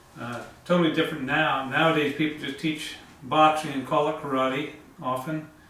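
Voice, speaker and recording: Amid noticeable background noise and audible room echo, a man speaks at a moderate pace in a flat, monotone way. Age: 70s. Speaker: karate instructor. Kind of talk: tutorial. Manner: hesitant, many fillers.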